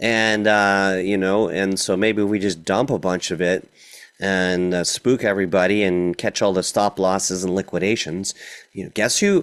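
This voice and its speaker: Here is an unremarkable speaking voice. Its pace is moderate. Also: man. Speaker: crypto trading coach. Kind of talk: recorded class / market analysis. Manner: casual, filler-heavy.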